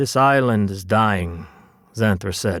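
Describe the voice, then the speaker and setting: The recording is very clean, with a silent background. A man with a fairly low pitch speaks at a fairly slow pace. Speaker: audiobook narrator. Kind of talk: children's audiobook narration. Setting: studio.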